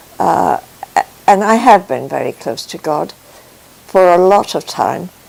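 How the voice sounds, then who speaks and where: A woman's voice with big swings in loudness amid noticeable background noise. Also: fairly slow pace. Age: 80s+. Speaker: faith testimony speaker. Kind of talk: testimony. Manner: halting.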